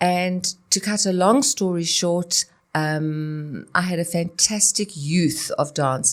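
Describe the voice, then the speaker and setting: A woman with a fairly low pitch speaks at a fairly slow pace in a normal speaking voice, on a very clean recording with a silent background. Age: 60s. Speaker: dance teacher and choreographer. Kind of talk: interview.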